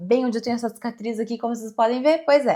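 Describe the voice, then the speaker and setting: High-pitched woman's voice with ordinary pitch variation, on a very clean recording against a silent background. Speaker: endocrinologist. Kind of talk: educational explainer video. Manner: swallows some words.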